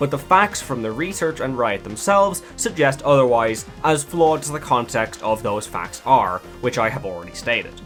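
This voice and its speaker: A man with an Irish accent at a moderate pace, music in the background. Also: medium pitch for a man. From Ireland. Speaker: gaming video essayist. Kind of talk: video essay narration.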